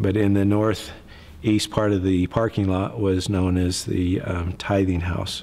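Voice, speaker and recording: A man with an American accent speaks at a fairly slow pace in a very deep, low voice with a dark, mellow tone, fairly even intonation, very even loudness and hardly any pauses. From Utah, US. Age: 50s. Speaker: church member. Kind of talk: testimony. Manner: halting.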